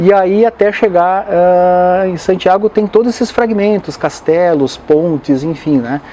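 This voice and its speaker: A man's high voice at a fairly slow pace, with hardly any pauses. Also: ordinary pitch variation. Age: 60s. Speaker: motivational speaker and pilgrim. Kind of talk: interview. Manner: hesitant, with frequent fillers.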